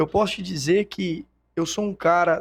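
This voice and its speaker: A man's high-pitched voice at a very slow pace. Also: dry, close sound with no echo. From Brazil, Itumbiara, Goiás. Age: 30s. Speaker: businessman and politician. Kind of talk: interview. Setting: studio.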